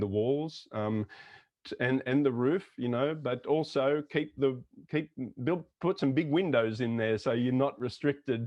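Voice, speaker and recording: At a moderate pace, a man speaks with an Australian accent at a medium pitch and ordinary pitch variation. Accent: typical Australian. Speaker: intercultural consultant. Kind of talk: interview conversation.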